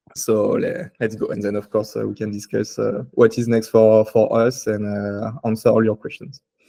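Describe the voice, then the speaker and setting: Here a man with a French accent speaks at a moderate pace, with hardly any pauses. His medium-pitched voice has a dark, mellow tone and fairly even intonation. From France, Paris. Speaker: tech startup CTO and composer. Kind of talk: conference tech talk. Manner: hesitant, many fillers.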